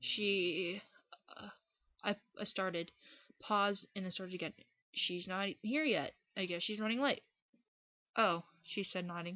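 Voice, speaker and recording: Her pitch is medium with ordinary variation, and she speaks at a fairly slow pace. This woman leaves long, frequent pauses. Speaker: fan fiction reader. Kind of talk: dramatic story reading.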